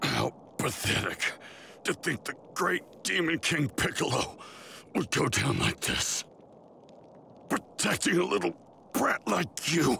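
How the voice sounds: A man performs a cartoonish character voice with a bright, sharp tone and big pitch swings. He speaks at a slow pace with vocal fry. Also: fairly high pitch for a man.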